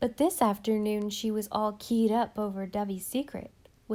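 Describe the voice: What's heard here is plain reading aloud.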